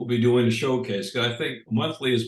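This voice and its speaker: Somewhat breathy and medium in pitch, a man speaks at a moderate pace. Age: 70s. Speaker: music promoter. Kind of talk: interview.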